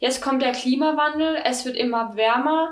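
A woman does the talking. Her pace is neither fast nor slow. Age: 20s. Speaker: podcast host. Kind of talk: interview.

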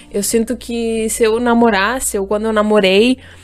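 Over noticeable background noise, a woman speaks at a fairly high pitch and a moderate pace. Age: 20s. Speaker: podcast co-host. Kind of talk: casual chat. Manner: halting, many repetitions.

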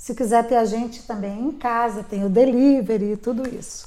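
Her voice is high in pitch. She keeps to a moderate speed. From Brasília, Brazil. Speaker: restaurant owner. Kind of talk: interview.

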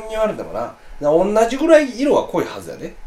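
In a Kansai accent, a man talks at a fairly quick pace. Room echo is audible, and background noise is noticeable. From Osaka. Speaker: podcast co-host. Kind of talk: casual chat.

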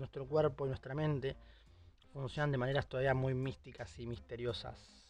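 A man's fairly quick speech comes out somewhat breathy. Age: 20s. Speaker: podcast host. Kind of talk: solo monologue podcast. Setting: recording in a closet at home.

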